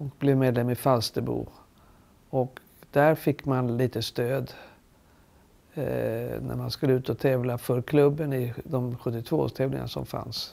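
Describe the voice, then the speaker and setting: At a very slow pace, a woman speaks with vocal fry in a dark, mellow tone, her pitch very deep and low and her intonation fairly even. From Sweden. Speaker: retired champion golfer. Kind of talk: interview. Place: home room.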